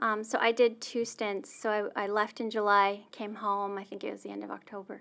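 Moderate pace and an unremarkable speaking voice, captured on a very clean recording against a silent background. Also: woman. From Saskatchewan, Canada. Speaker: church staff member sharing personal story. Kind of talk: interview, personal testimony.

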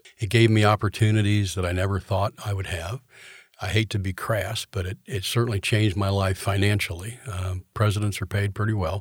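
Somewhat breathy and fairly low-pitched, a man talks at a fairly quick pace in a flat monotone, the sound dry and close with no echo. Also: very clean recording, silent background. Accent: American. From Florida (Orlando). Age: 70s. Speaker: college president. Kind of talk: interview.

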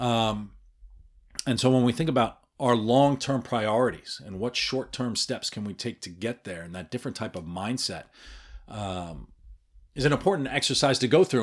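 This man has a normal speaking voice at medium pitch. He talks at a fairly quick pace with lively intonation. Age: 40s. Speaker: podcast host. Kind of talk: solo podcast monologue. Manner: casual, filler-heavy.

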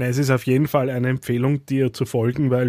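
Very clean recording with a silent background. A man with a dark, mellow tone speaks at medium pitch and a fairly quick pace. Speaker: podcast host. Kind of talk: interview.

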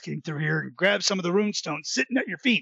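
A put-on character voice. It sits at a middle pitch. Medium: audio drama. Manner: chatty, punning.

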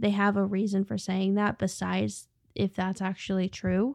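A woman uses a normal speaking voice at medium pitch and moderate pace. The recording is very clean, with a silent background. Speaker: podcast host. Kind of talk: casual chat, reacting to video clips.

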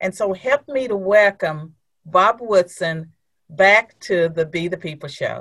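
This woman has an unremarkable speaking voice, medium in pitch with ordinary pitch variation, at a fairly slow pace. The sound is dry and close, with no echo. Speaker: podcast host. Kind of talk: interview.

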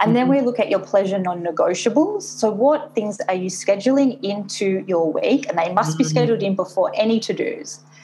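With an Australian accent, the speaker talks at a fairly quick pace with lively intonation over noticeable background noise. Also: woman, medium pitch for a woman, hardly any pauses. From Australia, Sydney. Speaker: business coach. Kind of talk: interview. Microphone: poor audio quality, thin sound.

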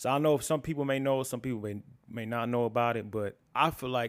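A man's plain, everyday voice at a medium pitch, fairly quick in pace, with fairly even intonation, on a very clean recording with a silent background. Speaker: video editor. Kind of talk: casual conversation.

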